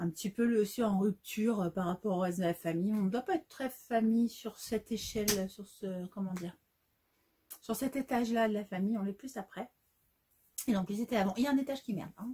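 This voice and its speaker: A woman talks at a fairly quick pace with ordinary pitch variation. Her tone is dark and mellow, and somewhat breathy. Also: fairly high pitch for a woman. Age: 40s. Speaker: sewing youtuber. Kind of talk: casual vlog. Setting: home sewing workshop.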